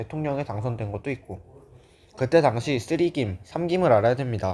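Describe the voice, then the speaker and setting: Using an ordinary speaking voice, a man talks at medium pitch with lively intonation. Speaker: history tutor. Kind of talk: lecture. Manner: casual, informal.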